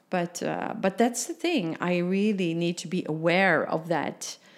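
A woman with a Dutch accent, fairly low in pitch, with ordinary pitch variation and a very slow pace. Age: 50s. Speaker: business mentor and human design coach. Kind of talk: casual interview.

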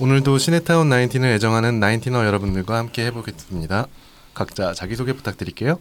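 A man with an ordinary speaking voice, medium pitch and lively intonation moves at a fairly quick pace. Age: 30s. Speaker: podcast host. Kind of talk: casual chat.

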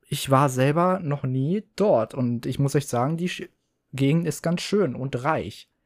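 This recording is very clean, with a silent background. The speech unfolds at a very slow pace. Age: 20s. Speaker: podcast host. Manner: animated; excitable.

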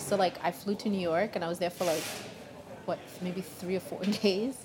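A woman's medium-pitched voice at a moderate pace, over noticeable background noise. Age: 40s. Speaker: singer-songwriter. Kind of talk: casual interview. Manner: halting.

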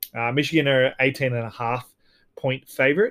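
A man talks at a fairly quick pace with a medium pitch and fairly even intonation. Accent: Australian. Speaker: sports podcast host. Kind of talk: solo podcast monologue. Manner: hesitant, many fillers and repeats.

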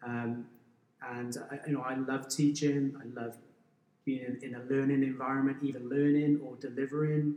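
At a moderate pace, a man with a South Wales accent speaks in a medium pitch and a monotone, flat intonation, with big swings in loudness. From Wales, valleys near Pontypridd. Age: 40s. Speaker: school business teacher and endurance runner. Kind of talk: casual interview. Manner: halting, frequent repetitions.

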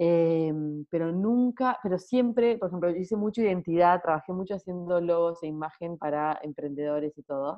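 A normal speaking voice from a woman, fairly low in pitch, with ordinary pitch variation. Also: moderate pace. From Argentina, Salta (rural). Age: 30s. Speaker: graphic designer and watercolour artist. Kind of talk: casual interview chat.

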